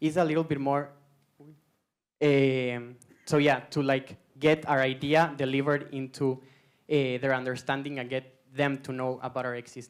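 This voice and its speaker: A man's fairly high-pitched voice with a non-native accent, monotone, flat intonation and a moderate pace. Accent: foreign. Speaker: startup co-founder, student. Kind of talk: pitch presentation.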